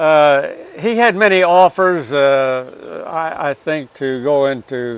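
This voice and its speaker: Here a man talks at a very slow pace. His fairly high voice has lively intonation. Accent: Midwestern American. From US Midwest, Alton area, Illinois. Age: 90s. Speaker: war veteran. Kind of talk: interview. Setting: outdoors. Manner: halting.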